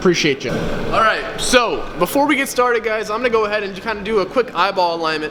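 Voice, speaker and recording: A man's high-pitched, raised, projected voice in an animated tone, with lively intonation at a very fast pace and hardly any pauses, amid audible room echo and noticeable background noise. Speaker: car vlogger. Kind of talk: casual vlog tutorial. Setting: garage shop. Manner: loud, raised voice; casual, animated.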